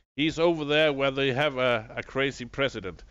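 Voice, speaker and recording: At a moderate pace and medium pitch, a man speaks with a bright, sharp tone and ordinary pitch variation against a quiet background. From Denmark. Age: 40s. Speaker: video game streamer. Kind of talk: live gameplay stream chat. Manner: halting, many fillers.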